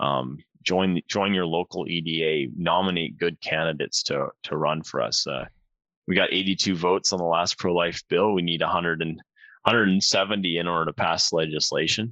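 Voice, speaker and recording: In a western Canadian accent, a man speaks at a fairly slow pace with a very deep, low pitch and fairly even intonation. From northern Alberta, Canada. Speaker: member of parliament. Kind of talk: casual interview.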